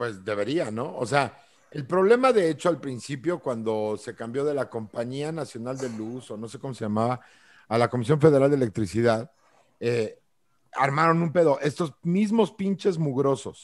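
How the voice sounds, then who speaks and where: A man with a Mexican accent talks at a moderate pace, his medium-pitched voice animated and his intonation lively, with big swings in loudness. The recording is very clean, with a silent background. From central Mexico. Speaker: podcast co-host. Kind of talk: casual chat.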